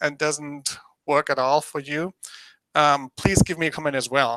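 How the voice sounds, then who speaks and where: Bright and sharp in tone, this voice with a German accent moves at a moderate pace in a dry, close sound with no echo. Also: man. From Germany. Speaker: business presenter. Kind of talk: presentation dry run. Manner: halting, many fillers.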